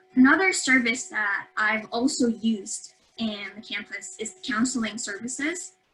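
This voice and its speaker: Music plays behind a voice speaking at a fairly slow pace. The intonation is lively. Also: woman, fairly high pitch for a woman. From Philippines, Davao City. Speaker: university student. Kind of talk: webinar talk answering host questions. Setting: online webinar. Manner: halting, with many fillers and self-corrections.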